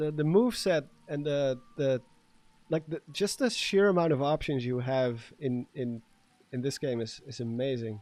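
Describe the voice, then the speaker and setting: A man with a Dutch accent, fairly high pitch, ordinary pitch variation and a moderate pace. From Netherlands. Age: 30s. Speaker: gaming streamer. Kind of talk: casual live stream commentary. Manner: animated.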